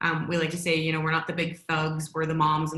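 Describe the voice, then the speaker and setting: In a room with audible echo, a woman with a very deep, low pitch talks very fast in a flat, monotone way. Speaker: security company trainer. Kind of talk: virtual workshop presentation.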